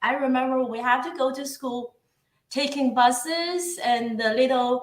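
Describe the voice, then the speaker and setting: A woman's raised, projected voice in a Chinese accent, high-pitched with a bright, sharp tone, at a fairly slow pace. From northeast China. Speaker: guest on a live show. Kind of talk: casual interview. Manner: halting.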